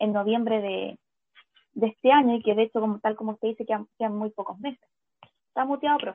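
This woman has an ordinary speaking voice, fairly high in pitch with ordinary pitch variation, and she talks at a fairly quick pace. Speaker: podcast co-host. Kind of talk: casual chat.

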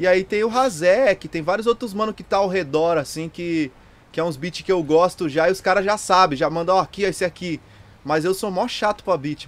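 High male pitch, its variation ordinary, from a man. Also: moderate pace. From Curitiba, southern Brazil. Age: 20s. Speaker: rapper. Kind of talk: casual chat.

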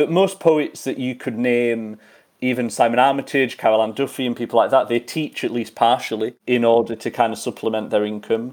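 Speaking at a fairly quick pace, a man with an English accent has a medium pitch and ordinary pitch variation. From western England. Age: 30s. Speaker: poet and lecturer. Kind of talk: interview.

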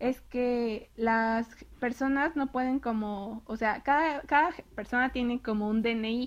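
The speaker has a Mexican accent. The recording is very clean, with a silent background. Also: woman. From Mexico. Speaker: university student. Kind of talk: casual interview.

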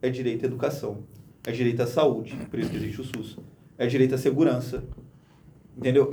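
Audible room echo around a man's somewhat breathy voice. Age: 20s. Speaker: lawyer. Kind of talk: casual interview chat. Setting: studio.

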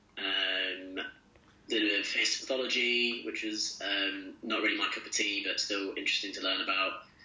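At a moderate pace, a man speaks through noticeable background noise. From English East Midlands, Loughborough. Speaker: junior doctor and clinical teaching fellow. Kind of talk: interview. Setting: video call from home kitchen.

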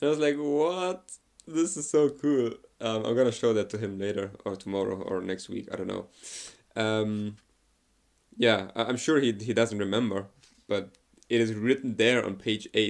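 The speaker has a German accent and a moderate pace, with ordinary pitch variation. Long, frequent pauses stand out in a very clean recording with a silent background. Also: man, medium pitch for a man. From Germany. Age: 20s. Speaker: podcaster. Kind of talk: casual monologue. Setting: outdoors walking in forest. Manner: hesitant, many fillers.

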